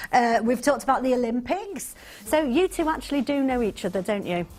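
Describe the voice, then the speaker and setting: Her high voice has a warm tone and very wide pitch swings. Music plays in the background as the woman speaks. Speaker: TV presenter / chat show host. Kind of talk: live news review chat show hosting. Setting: TV studio. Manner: warm, humorous, teasing, conversational.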